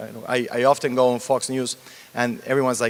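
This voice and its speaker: Talking at a fairly quick pace, a man with a Mexican accent has a medium pitch. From Mexico. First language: Spanish. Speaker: TV news anchor. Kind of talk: panel interview.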